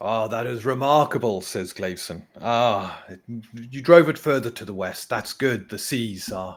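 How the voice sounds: The natural reading voice here has lively intonation.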